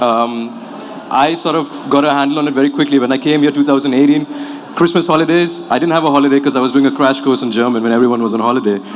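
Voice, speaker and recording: A man's fairly high voice at a very fast pace, with noticeable background noise. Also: ordinary pitch variation. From Qatar and Abu Dhabi. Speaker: newcomer interviewee. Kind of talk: panel interview.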